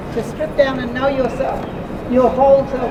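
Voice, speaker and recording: The speech moves at a fairly quick pace. There is noticeable background noise and audible room echo. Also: woman. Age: 80s+. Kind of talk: welcome to country speech at a rally. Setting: outdoor rally with crowd. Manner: halting.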